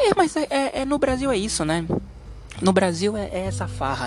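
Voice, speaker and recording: With music in the background, a man talks at a moderate pace in an animated tone. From Brazil, Santos (São Paulo coast). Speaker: podcast host. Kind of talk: opinion monologue. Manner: halting, many fillers.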